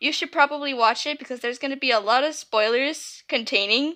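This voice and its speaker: Over a quiet background, a woman projects a raised voice with a high pitch and a bright, sharp tone. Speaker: YouTuber reading own fanfiction. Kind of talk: casual intro before reading aloud. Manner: halting, many fillers.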